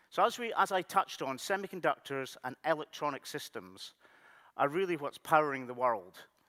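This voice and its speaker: A man's voice swings very widely in pitch, recorded dry and close with no echo against a very clean, silent background. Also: fairly high pitch for a man, fairly quick pace. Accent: Scottish. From Scotland, Highlands. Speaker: technology executive. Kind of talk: conference keynote.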